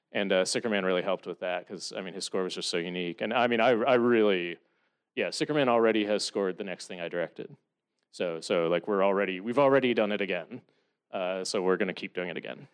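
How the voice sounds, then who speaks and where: Over a quiet background, a man talks at a very fast pace. His pitch is fairly low, with ordinary pitch variation. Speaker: film director and writer. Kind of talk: Q&A with audience. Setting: stage with audience.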